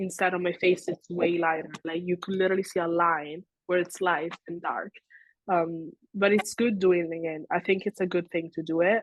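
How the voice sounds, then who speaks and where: Speaking with an Italian accent, a woman keeps a fairly low pitch in monotone, flat intonation. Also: moderate pace. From Italy, raised in Switzerland. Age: young. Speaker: social media creator. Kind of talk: interview.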